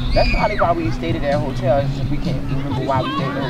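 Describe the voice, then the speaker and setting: Very fast talk with a dry sound and no echo, clear music in the background. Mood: playful, laughing. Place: beach. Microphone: camera far.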